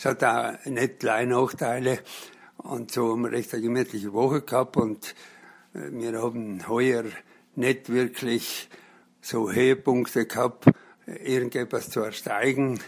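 A man with a South Tyrolean accent speaks fairly slowly at a medium pitch with ordinary pitch variation. He leaves long, frequent pauses. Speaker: blind hiking week participant. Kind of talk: interview. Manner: hesitant with fillers.

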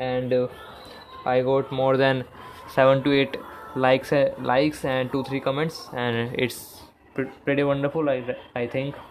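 Speech at a fairly slow pace, broken by long, frequent pauses, over noticeable background noise. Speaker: podcaster. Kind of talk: personal vlog monologue. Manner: energetic.

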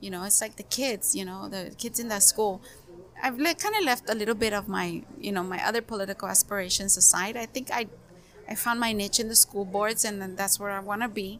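Noticeable background noise sits behind a woman at medium pitch. She talks at a fairly quick pace with fairly even intonation. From Heber, Imperial Valley, California. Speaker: community organizer. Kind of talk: casual interview.

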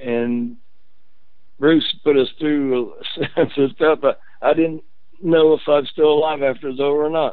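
Someone with a Midwestern US accent talks at a fairly slow pace, their fairly even intonation broken by long, frequent pauses. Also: man. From Indiana, Muncie. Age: 70s. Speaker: former basketball player. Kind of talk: interview. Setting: phone call.

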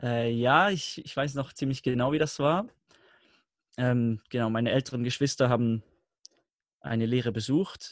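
Recorded very cleanly with a silent background, a man speaks at a moderate pace and medium pitch, with ordinary pitch variation and long, frequent pauses. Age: 20s. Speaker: learning coach. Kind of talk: interview.

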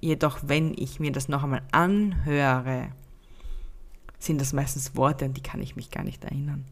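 Slow-paced and very deep, a woman's low voice carries vocal fry and fairly even intonation at a fairly slow pace. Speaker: podcast host and happiness mentor. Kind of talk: unscripted solo podcast monologue. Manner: spontaneous, unscripted.

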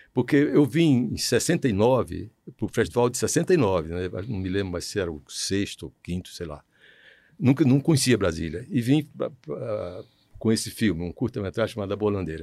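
In a very clean recording with a silent background, a man with a dark, mellow tone and fairly low pitch speaks at a moderate pace, his pitch swinging very widely and his loudness rising and falling sharply. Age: 80s+. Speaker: filmmaker. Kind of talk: interview. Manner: halting.

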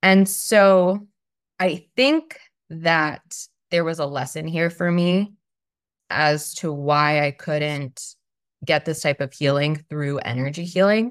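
On a very clean recording with a silent background, a woman with an American accent speaks at a very slow pace in a very deep, low pitch, with ordinary pitch variation and long, frequent pauses. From Long Island, New York. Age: 30s. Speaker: healthcare worker and energy healer. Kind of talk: casual interview.

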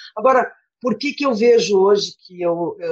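A woman with an unremarkable speaking voice, at a moderate pace, with ordinary pitch variation. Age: 50s. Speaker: volunteer teacher and former smoker. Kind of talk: interview testimony.

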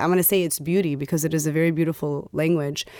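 A woman with an American accent speaks in an ordinary speaking voice, fairly low-pitched and fairly even in intonation, with a dry, close sound free of echo on a very clean recording with a silent background. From Dearborn, Michigan, US. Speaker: high school teacher. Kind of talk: casual chat.

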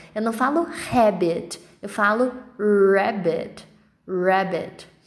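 Audible room echo carries the fairly high-pitched voice of a woman. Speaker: English teacher. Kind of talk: tutorial.

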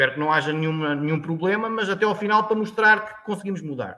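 A man speaks with a high-pitched voice. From Portugal, Tomar (central Portugal). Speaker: agricultural consultant. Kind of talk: interview conversation. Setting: live stream. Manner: halting.

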